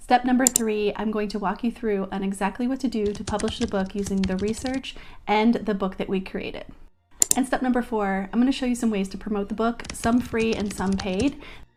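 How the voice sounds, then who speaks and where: An ordinary speaking voice from a woman, fairly high in pitch, fairly quick, with fairly even intonation. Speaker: online business tutorial creator. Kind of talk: tutorial.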